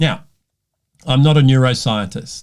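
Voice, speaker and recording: With an Australian accent, the speaker moves at a moderate pace with ordinary pitch variation, recorded very cleanly against a silent background. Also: man. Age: 60s. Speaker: leadership coach. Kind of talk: personal talk to camera.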